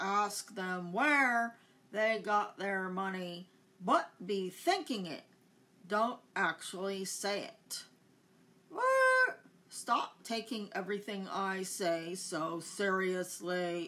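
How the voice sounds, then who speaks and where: This is a put-on character voice at a middle pitch. It goes at a very slow pace. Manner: repeats words like a glitching machine.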